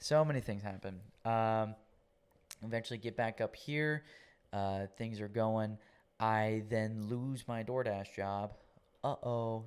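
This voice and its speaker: At a very slow pace with long, frequent pauses, a man of medium pitch speaks with fairly even intonation on a very clean recording with a silent background. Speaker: podcast guest sharing his faith testimony. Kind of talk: testimony. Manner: casual.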